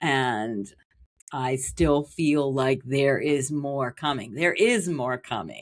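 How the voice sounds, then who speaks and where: On a very clean recording with a silent background, a woman with an American accent speaks very slowly in a very deep, low voice with ordinary pitch variation. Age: 60s. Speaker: Reiki teacher. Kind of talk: interview.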